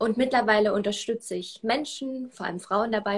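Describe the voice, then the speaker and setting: Somewhat breathy and medium in pitch, a woman's voice moves along at a fairly quick pace. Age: 20s. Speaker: self-love coach and former swimmer. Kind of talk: interview.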